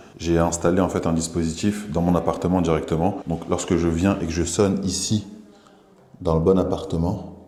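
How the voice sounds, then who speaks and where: A man's very deep, low voice at a moderate pace, flat and monotone, with audible room echo and noticeable background noise. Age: 20s. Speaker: short-term rental manager. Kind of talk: vlog tour and business pitch. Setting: walking indoors, apartment residence. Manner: casual.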